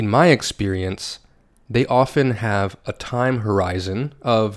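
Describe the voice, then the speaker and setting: A man speaks at a very slow pace and medium pitch on a very clean recording with a silent background. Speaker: English teacher podcast host. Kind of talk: reading aloud.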